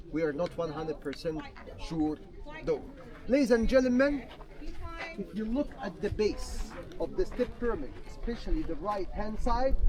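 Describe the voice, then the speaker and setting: Speech at a moderate pace, broken by long, frequent pauses, comes over noticeable background noise. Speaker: tour guide. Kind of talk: guided tour talk.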